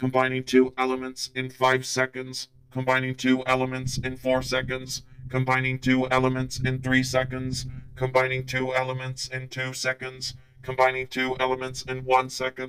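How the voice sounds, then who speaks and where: A man's put-on character voice at medium pitch, monotone and flat, at a moderate pace. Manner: flat, monotone counting.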